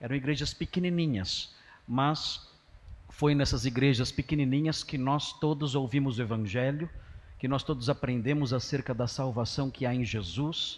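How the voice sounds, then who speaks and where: The man's voice sits at a fairly high pitch and is somewhat breathy. He talks at a moderate pace. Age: 60s. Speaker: pastor. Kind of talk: sermon. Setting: church.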